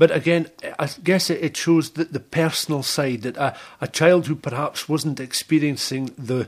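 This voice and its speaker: Intonation stays fairly even at a moderate pace. It is a plain, everyday voice. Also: man, fairly high pitch for a man. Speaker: radio presenter. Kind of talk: interview question.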